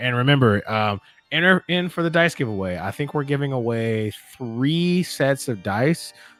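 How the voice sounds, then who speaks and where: A man at medium pitch, fairly slow pace and lively intonation, with noticeable background noise. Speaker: game master. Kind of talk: live stream sign-off. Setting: live stream with players on a call. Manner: loud.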